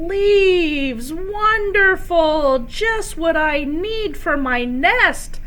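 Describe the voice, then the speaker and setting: Over clear background noise, a woman uses a put-on character voice at an extremely high pitch and a very slow pace. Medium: read story. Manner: brisk, offhand.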